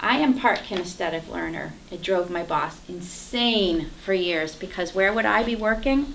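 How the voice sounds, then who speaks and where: Over noticeable background noise and audible room echo, a woman speaks at a fairly slow pace with lively intonation. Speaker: Toastmasters speaker. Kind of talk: prepared speech. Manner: animated.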